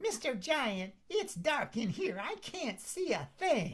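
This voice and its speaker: This put-on character voice sits high in pitch. It moves at a fairly slow pace with very wide pitch swings. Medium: stage play. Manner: cheeky, sly.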